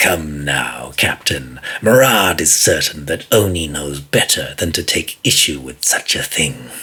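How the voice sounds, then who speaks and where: A raspy, put-on character voice. It moves at a fairly slow pace. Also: man, very deep, low pitch for a man. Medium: read story. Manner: smooth, condescending, speaks of himself in third person.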